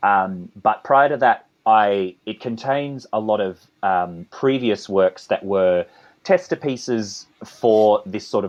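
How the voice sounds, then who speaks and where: Over a quiet background, a man with an Australian accent speaks at a very slow pace. His pitch is fairly low. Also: ordinary pitch variation. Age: 30s. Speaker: composer and conductor. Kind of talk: interview. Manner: hesitant, many fillers.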